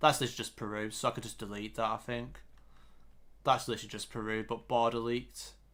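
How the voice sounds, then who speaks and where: The recording is very clean, with a silent background. A man with a northern English accent talks at a very fast pace. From northern England, Yorkshire near Oldham/Huddersfield. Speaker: GeoGuessr streamer. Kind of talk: casual live stream chat. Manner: halting, many fillers and restarts.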